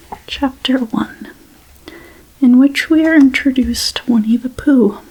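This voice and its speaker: A soft-spoken voice at a fairly slow pace, with noticeable background noise. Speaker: ASMR creator. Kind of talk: bedtime story reading.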